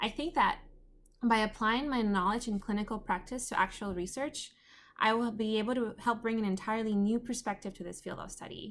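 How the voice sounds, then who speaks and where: A woman with a Spanish accent, a fairly high pitch and fairly even intonation at a fairly quick pace, on a very clean recording with a silent background. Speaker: undergraduate student. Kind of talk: class presentation.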